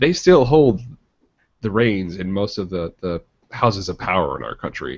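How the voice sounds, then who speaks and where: Speaking with a Midwestern accent, a man uses lively intonation and a fairly low pitch at a moderate pace. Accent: Midwest. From Michigan. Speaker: podcast co-host. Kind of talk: casual chat.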